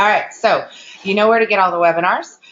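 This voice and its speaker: The woman's voice sits at medium pitch, with ordinary pitch variation. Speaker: webinar host, marketing trainer. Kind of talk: webinar training. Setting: online webinar. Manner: fast; animated.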